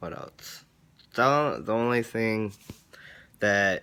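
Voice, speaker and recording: A man talks at a very slow pace. His tone is bright and sharp, with ordinary pitch variation. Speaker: vlogger. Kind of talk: casual vlog. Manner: rambling with many fillers.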